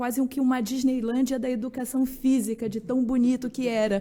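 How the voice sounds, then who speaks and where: Speaking in a Rio de Janeiro accent, a woman with a high pitch and a dark, mellow tone keeps her intonation fairly even. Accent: carioca accent, noticeable. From Rio de Janeiro, Brazil. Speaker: journalist. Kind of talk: radio interview.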